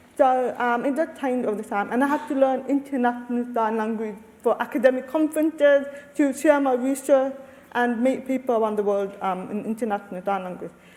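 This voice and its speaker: A high-pitched woman with ordinary pitch variation, over noticeable background noise. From Australia, Lebanese family. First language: Arabic. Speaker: deaf researcher and panelist. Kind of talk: panel discussion.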